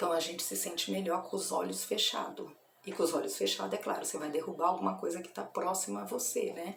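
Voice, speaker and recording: A soft-spoken woman at a very fast pace, with noticeable background noise. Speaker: evangelical churchgoer sharing religious reflections. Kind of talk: informal religious reflection video. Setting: at her workplace. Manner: soft-spoken, speaking quietly.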